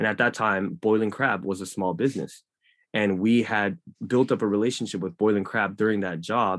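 Against a quiet background, a man with an unremarkable speaking voice talks at a moderate pace in a fairly low pitch with ordinary pitch variation. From Los Angeles, US; Korea. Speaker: club community manager and marketing professional. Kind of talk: casual interview chat.

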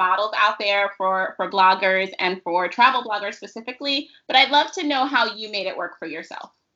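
A woman talks at a moderate pace. Hers is a plain, everyday voice. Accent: American. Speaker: podcast host. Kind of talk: casual interview chat.

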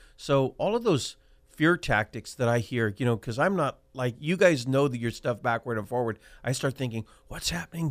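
In an American accent, a man with a plain, everyday voice speaks at a medium pitch and a moderate pace with lively intonation, on a very clean recording with a silent background. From Central California, Selma (Fresno County). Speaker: county supervisor. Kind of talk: radio talk show interview.

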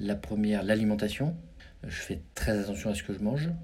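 The speaker's intonation is lively, and the room echo is audible. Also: man. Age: 50s. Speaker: business executive. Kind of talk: interview. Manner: halting.

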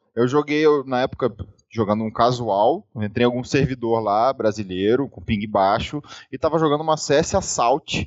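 Pitched at a medium level for a man, this man's an unremarkable speaking voice moves at a moderate pace with ordinary pitch variation. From Rio de Janeiro, Brazil. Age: 30s. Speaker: esports player turned streamer. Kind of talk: casual interview chat.

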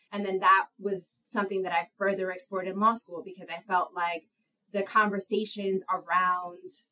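A woman speaks with an American accent in a normal speaking voice. Her pitch is medium and her pace is moderate. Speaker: lawyer. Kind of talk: casual interview.

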